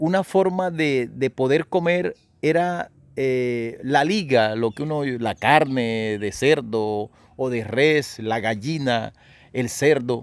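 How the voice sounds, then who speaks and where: At a medium pitch, a man talks at a very slow pace. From Córdoba, Colombia. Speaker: radio announcer, writer, actor and decima poet. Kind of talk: interview answer.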